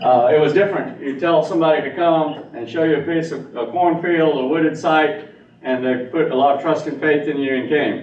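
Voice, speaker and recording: Against noticeable background noise and audible room echo, a man speaks with a fairly high pitch and fairly even intonation. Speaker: engineer presenting to town council. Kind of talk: presentation. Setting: town council meeting. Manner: fast.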